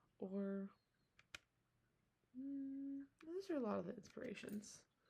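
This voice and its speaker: Very slow and soft-spoken, this voice has lively intonation, a dark, mellow tone and a somewhat breathy quality. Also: woman. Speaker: ASMR creator. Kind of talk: ASMR talk to camera.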